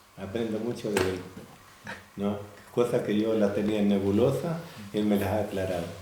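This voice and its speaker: A man's fairly low-pitched voice with fairly even intonation and long, frequent pauses, amid noticeable background noise and audible room echo. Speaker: church member. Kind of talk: testimony. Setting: church men's meeting.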